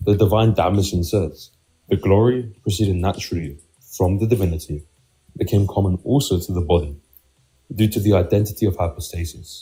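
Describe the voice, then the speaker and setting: Very deep and low, a man's voice comes through somewhat breathy and dark and mellow, with ordinary pitch variation. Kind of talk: formal theological reading.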